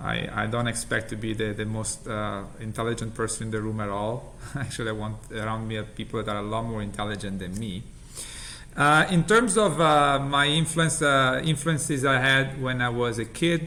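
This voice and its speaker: In an Italian accent, the voice is bright and sharp, with ordinary pitch variation and a moderate pace, and audible room echo surrounds it. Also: man, medium pitch for a man. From Italy. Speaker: healthcare company CEO. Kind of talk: interview.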